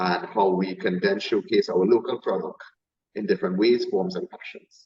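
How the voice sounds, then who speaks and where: Speaking in a Trinidadian accent, a man keeps a moderate pace. His loudness shows big swings. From Trinidad and Tobago. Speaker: chef. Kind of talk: interview.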